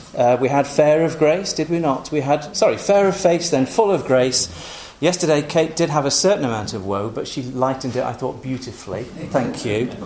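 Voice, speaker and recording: Over noticeable background noise, a man talks at a moderate pace. His pitch is fairly high, and his intonation is lively. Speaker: congregation host. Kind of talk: casual introduction. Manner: humorous.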